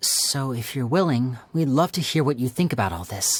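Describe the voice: The voice is a put-on character voice with lively intonation. It has a slightly husky edge. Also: woman, extremely low pitch for a woman, moderate pace.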